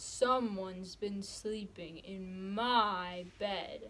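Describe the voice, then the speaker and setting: Using a cartoonish character voice at a medium pitch, a woman talks at a very slow pace against clear background noise. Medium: puppet.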